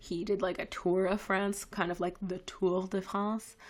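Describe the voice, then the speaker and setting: Her voice is medium in pitch for a woman, delivered at a fairly slow pace with monotone, flat intonation. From Canada. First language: French. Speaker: vlogger and photojournalist. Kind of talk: casual live stream chat. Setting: live stream.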